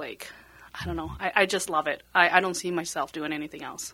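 With a Spanish accent, a woman talks at a moderate pace. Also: very clean recording, silent background. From Bolivia. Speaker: realtor. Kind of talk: casual chat.

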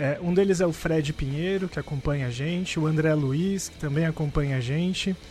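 Over noticeable background noise, a man with a São Paulo accent talks with hardly any pauses and fairly even intonation. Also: fairly high pitch for a man, moderate pace. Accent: Paulistano Brazilian Portuguese. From Brazil, São Paulo (Campo Limpo). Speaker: podcast co-host. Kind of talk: casual chat.

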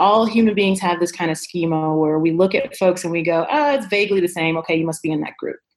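With music in the background, a woman speaks at a fairly quick pace in a medium pitch, her pitch varying in an ordinary way. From Chicago, South Side. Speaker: travel business founder. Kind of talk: casual interview.

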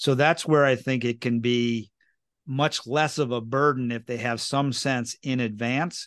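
Against a quiet background, a man with an unremarkable speaking voice talks at a medium pitch with fairly even intonation. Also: fairly slow pace. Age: 50s. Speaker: wealth manager and podcast host. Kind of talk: casual interview chat.

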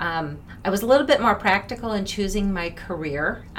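Amid noticeable background noise and audible room echo, a woman with an American accent speaks at a moderate pace and medium pitch, with very wide pitch swings. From US Midwest, Minneapolis. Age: 50s. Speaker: former finance executive. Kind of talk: interview.

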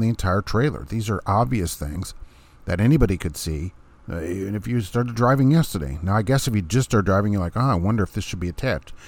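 Speaking at a very fast pace, a man with a fairly low pitch uses lively intonation. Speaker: truck driver podcast host. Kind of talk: angry rant; casual solo podcast monologue. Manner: indignant, sarcastic; exasperated, emphatic.

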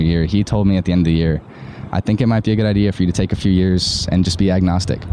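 Over noticeable background noise, a man talks at a very fast pace. His pitch is very deep and low, and his intonation fairly even. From Ireland. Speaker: university student. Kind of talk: casual chat.

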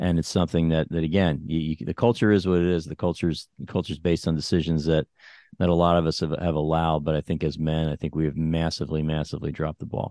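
At a very fast pace, a man with a very deep, low pitch and a dark, mellow tone speaks in a monotone, flat delivery, the sound dry and close with no echo over a quiet background. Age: 50s. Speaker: podcast host and financial planner. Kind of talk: interview.

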